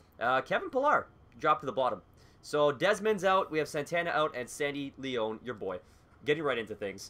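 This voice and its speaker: A man's bright, sharp voice with a Canadian accent, lively intonation and a fairly quick pace. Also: fairly high pitch for a man. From Canada. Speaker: gaming YouTuber. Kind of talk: casual gameplay commentary. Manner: animated.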